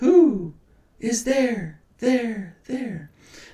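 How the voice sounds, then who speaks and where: A man's put-on character voice, extremely high-pitched, with lively intonation and slight echo. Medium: read story. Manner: whispered, repeating words like an echo.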